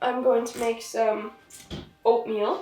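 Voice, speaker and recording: Over music in the background and audible room echo, a woman talks with a high pitch. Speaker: vlogger and film production assistant. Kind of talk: casual vlog chat. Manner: hesitant, many fillers.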